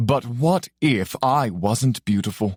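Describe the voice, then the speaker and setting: In a put-on character voice, a man speaks with a resonant sound at medium pitch. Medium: read story. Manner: calm, measured, faintly amused.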